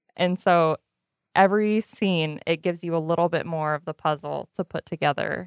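A woman with an unremarkable speaking voice and a fairly low pitch talks with ordinary pitch variation in a dry, close sound with no echo on a very clean recording with a silent background. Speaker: film discussion panelist. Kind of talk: casual chat. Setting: studio.

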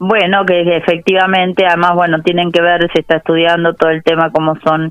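At a moderate pace, a woman speaks in an unremarkable speaking voice with a fairly low pitch. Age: 30s. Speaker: policy advisor. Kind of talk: interview. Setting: phone call.

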